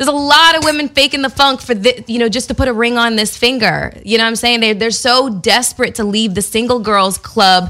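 A woman speaks with a fairly high pitch and a bright, sharp tone. Her pitch varies in an ordinary way, and she barely pauses. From Canada. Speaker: podcast co-host. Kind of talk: casual chat.

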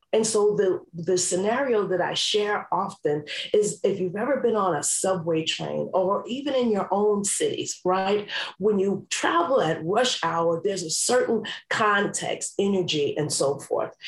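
A woman with an American accent speaks at a fairly slow pace. Her loudness is very even, with noticeable background noise. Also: medium pitch for a woman, ordinary pitch variation. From New York City. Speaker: life coach. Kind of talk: interview.

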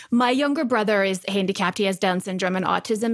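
A woman's fairly high voice at a fairly quick pace, with a slight Texas accent, on a very clean recording with a silent background. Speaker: actress and podcast co-host. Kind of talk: casual chat.

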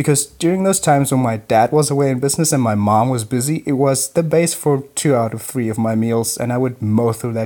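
A man's medium-pitched voice with a dark, mellow tone, at a fairly quick pace, with a German accent. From Germany, Munich. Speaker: listener sending audio question. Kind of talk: recorded voice message. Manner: animated.

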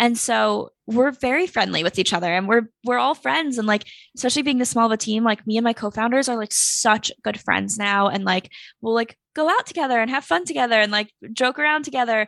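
Fairly quick, lively speech from a woman, an ordinary speaking voice, dry and close with no echo, quiet background. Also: fairly high pitch for a woman. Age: 20s. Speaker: startup founder and influencer. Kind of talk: casual chat.

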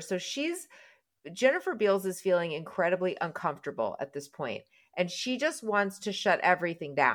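A normal speaking voice from a woman, lively intonation and a moderate pace. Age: 50s. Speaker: podcast host. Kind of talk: casual chat.

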